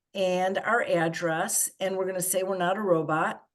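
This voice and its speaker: Her pitch is medium as this woman talks at a moderate pace. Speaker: advocacy organizer leading a training. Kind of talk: online workshop presentation.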